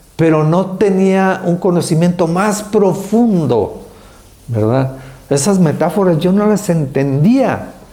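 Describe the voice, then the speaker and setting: Amid audible room echo, a man with a high pitch speaks very slowly, with lively intonation and very even loudness. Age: 70s. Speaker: speaker on senior care. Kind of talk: testimony.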